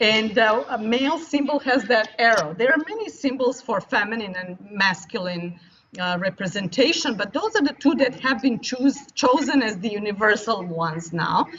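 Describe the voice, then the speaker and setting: Over noticeable background noise, a woman with a non-native accent speaks at a moderate pace with hardly any pauses, a fairly high pitch and lively intonation. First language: not English. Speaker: futures studies professor. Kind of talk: interview.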